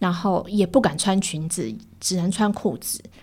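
Speech comes at a fairly slow pace. A somewhat breathy quality runs through it. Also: woman. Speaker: editor-in-chief of a digital media outlet. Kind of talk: interview.

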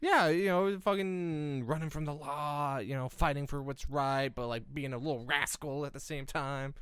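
A man's plain, everyday voice, fairly high in pitch, with ordinary pitch variation, a moderate pace and hardly any pauses. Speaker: podcast host. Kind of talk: casual chat.

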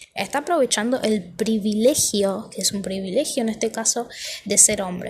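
The woman's pitch is fairly high, with ordinary variation. She keeps a moderate pace. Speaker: podcaster. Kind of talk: casual monologue. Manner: halting.

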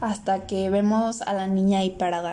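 At a fairly slow pace and with fairly even intonation, the voice carries audible room echo. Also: woman. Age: 20s. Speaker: podcaster, film analysis. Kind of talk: solo film review monologue.

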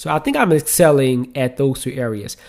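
With an American accent, a man speaks at fairly high pitch. He keeps a moderate pace. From US South, New Orleans. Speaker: podcast host, father. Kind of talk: solo podcast monologue. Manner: casual, with frequent fillers.

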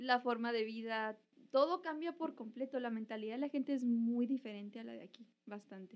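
Woman's high-pitched voice at a moderate pace, ordinary pitch variation, big swings in loudness. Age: 20s. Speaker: former intern. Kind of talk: casual chat.

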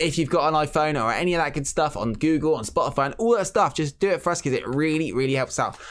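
A man's fairly high voice at a very fast pace, with hardly any pauses. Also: ordinary pitch variation. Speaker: wrestling podcast host. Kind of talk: casual banter, wrestling discussion.

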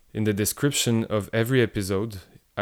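The recording is very clean, with a silent background. A man speaks at a moderate pace in a fairly low voice. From Quebec, Canada. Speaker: teacher and podcast host. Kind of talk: scripted narration.

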